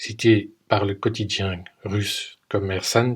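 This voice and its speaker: The man's voice is somewhat breathy. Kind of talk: podcast commentary narration.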